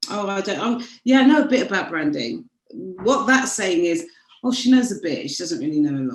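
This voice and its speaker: A woman with a British accent, medium pitch, very wide pitch swings, and a moderate pace. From United Kingdom. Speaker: branding strategist. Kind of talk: interview.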